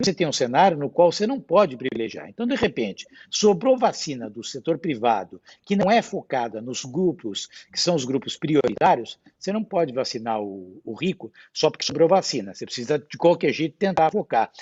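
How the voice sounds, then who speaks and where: At a moderate pace, a man with a fairly high pitch and vocal fry speaks with very wide pitch swings. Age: 60s. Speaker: hospital board chairman. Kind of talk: panel discussion. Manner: animated.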